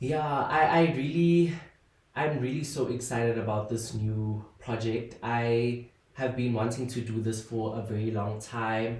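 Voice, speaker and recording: Amid noticeable background noise and audible room echo, a man talks at medium pitch and a fairly slow pace with ordinary pitch variation. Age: 20s. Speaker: podcast host and content creator. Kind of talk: casual solo podcast monologue. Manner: hesitant, many fillers.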